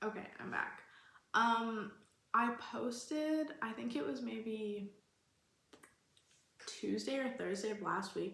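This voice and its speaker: A woman speaks at a fairly high pitch and a very slow pace, with long, frequent pauses. The clip carries audible room echo and noticeable background noise. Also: lively intonation. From Canada, Alberta. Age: 20s. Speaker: vlogger. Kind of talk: casual vlog Q&A.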